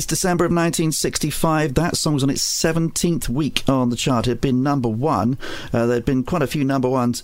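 A man speaks at a moderate pace with a medium-pitched voice and hardly any pauses. His loudness stays very even, and there is noticeable background noise. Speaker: radio host. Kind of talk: radio music show presenting, chart countdown. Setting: studio. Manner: relaxed, chatty, conversational.

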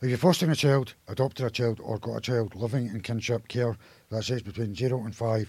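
Somewhat breathy male voice at medium pitch. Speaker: community radio presenter. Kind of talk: radio DJ patter, reading listings and phone numbers between songs. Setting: radio studio. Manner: repeats details slowly, sometimes stumbling and restarting.

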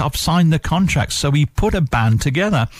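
Noticeable background noise sits behind the voice. The delivery is fairly quick with lively intonation. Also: man. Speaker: radio DJ. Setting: radio studio. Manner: warm, easygoing, nostalgic, conversational.

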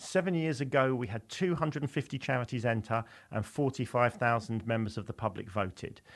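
In an ordinary speaking voice of medium pitch, a man talks at a moderate pace with lively intonation, the recording very clean with a silent background. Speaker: charity film awards co-founder. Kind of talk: radio interview.

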